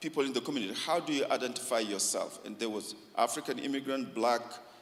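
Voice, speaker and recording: This man talks at a fairly quick pace with a fairly high pitch and lively intonation, and room echo is audible. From Africa. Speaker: community organization founder. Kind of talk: talk to church forum.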